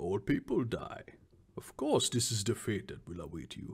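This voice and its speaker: A man speaks in a put-on character voice. His pitch sits in the medium range and his pace is moderate. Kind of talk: mystical pronouncement. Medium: actual play. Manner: solemn, measured.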